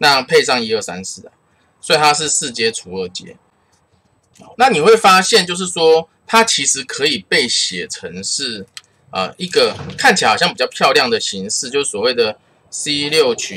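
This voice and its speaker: Over light background noise, a man speaks slowly at a fairly high pitch, his pitch swinging very widely and his loudness rising and falling sharply. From Taiwan. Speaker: math teacher. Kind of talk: lecture. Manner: casual, uses many filler particles.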